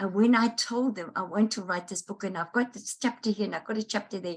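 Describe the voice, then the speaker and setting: A woman speaks in a fairly high, somewhat breathy voice. Her pace is moderate. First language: Dutch. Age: 70s. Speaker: life coach and author. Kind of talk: interview. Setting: online summit interview.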